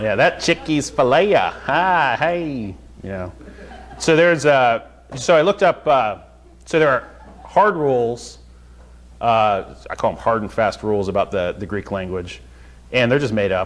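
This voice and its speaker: With very wide pitch swings, a man talks at a fairly slow pace broken by long, frequent pauses. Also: medium pitch for a man. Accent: Southern. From North Carolina. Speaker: Bible teacher. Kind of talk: Bible study teaching. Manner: halting, many fillers; casual, conversational.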